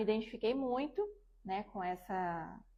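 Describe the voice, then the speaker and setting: A woman speaks at a moderate pace with a fairly high pitch. It is a plain, everyday voice. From Brazil, Dourados, Mato Grosso do Sul. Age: 30s. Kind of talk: testimony.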